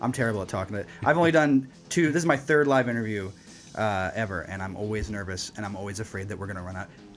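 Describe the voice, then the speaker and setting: Music in the background behind a man's fairly low, lively voice at a very fast pace. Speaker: radio host. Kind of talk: interview.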